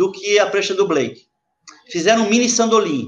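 A man talking at a fairly quick pace. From Santos, São Paulo state, Brazil. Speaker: surf historian and surfboard maker. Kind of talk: live podcast discussion.

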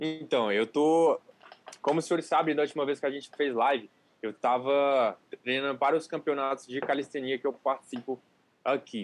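Here is a plain, everyday voice. It moves at a moderate pace with fairly even intonation. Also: man, fairly high pitch for a man. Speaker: calisthenics youtuber. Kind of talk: casual chat. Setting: livestream.

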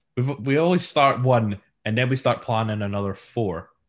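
A man speaks with a Scottish accent against a quiet background. His pitch swings very widely. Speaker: sound engineer. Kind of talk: casual chat.

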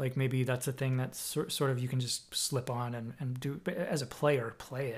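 Somewhat breathy, the voice carries an American accent. It keeps a moderate pace and fairly even intonation. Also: man. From Boston area, Massachusetts. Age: 40s. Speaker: podcast host and drummer. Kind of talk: casual chat. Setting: at home.

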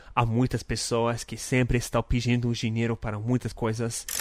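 A man with a non-native accent, medium in pitch, at a moderate pace. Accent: foreign accent in Portuguese. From North America. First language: English (speaking Portuguese). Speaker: podcast host. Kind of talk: casual devotional talk.

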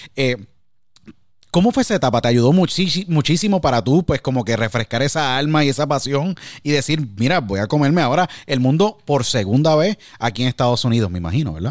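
A man's unremarkable speaking voice, fairly high in pitch, with lively intonation and a fairly quick pace, on a very clean recording against a silent background. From Puerto Rico, San Juan. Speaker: podcast host and former sports radio broadcaster. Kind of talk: interview conversation.

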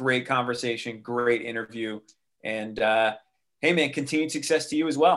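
Captured in a very clean recording with a silent background, a man with an ordinary speaking voice talks at a fairly quick pace, medium pitch and ordinary pitch variation. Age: 40s. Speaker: music industry veteran, martial artist and cancer survivor. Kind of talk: interview conversation.

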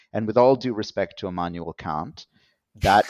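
With a Canadian accent, a man uses an unremarkable speaking voice, fairly low in pitch, with ordinary pitch variation. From Canada. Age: 40s. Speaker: professor and author. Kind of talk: interview.

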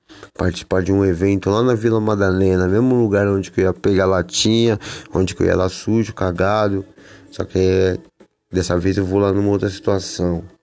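In an ordinary speaking voice, a man talks at a moderate pace with fairly low pitch, fairly even intonation and very even loudness. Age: 40s. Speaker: skateboarder and author in addiction recovery. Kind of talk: casual monologue podcast. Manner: slangy, filler-heavy.

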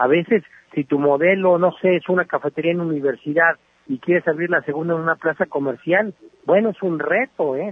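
The pace is moderate. Pitch variation is ordinary. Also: man. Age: 40s. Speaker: entrepreneur and business columnist. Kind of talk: radio interview.

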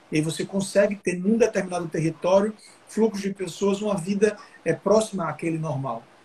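Fairly quick speech with ordinary pitch variation, over noticeable background noise. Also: man, high pitch for a man. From Brazil, Alagoas (Maceió). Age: 30s. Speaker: politician, mayoral pre-candidate. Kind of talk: interview on a live stream. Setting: video call live stream.

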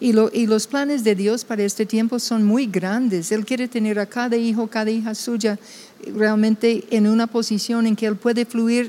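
A woman speaks with a fairly high pitch at a moderate pace. Her intonation is monotone and flat. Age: 70s. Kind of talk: casual chat.

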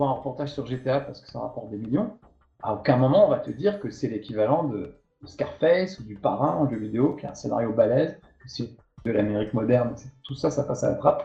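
Using an ordinary speaking voice, a man talks at a fairly quick pace with medium pitch and lively intonation. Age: 50s. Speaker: video game journalist and TV presenter. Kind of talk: casual interview.

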